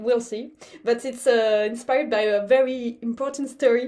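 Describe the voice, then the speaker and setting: With a French accent, a woman at a high pitch talks at a moderate pace with fairly even intonation. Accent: obvious French. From France. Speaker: baroque violinist. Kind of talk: pre-concert talk. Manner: halting, many repetitions.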